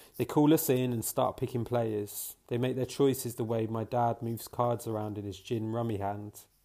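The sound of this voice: Delivered in an unforced reading voice, the speech keeps a fairly even intonation.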